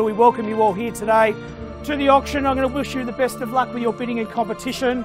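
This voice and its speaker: A man talking at a very fast pace with ordinary pitch variation, clear music in the background. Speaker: real estate auctioneer. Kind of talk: property auction, live bidding. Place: street. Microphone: lapel.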